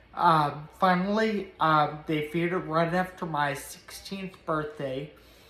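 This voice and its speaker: A woman's very deep, low voice with an American accent, at a fairly slow pace with fairly even intonation, in audible room echo. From US South, Nashville, Tennessee. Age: 30s. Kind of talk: personal testimony to camera. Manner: halting, many fillers.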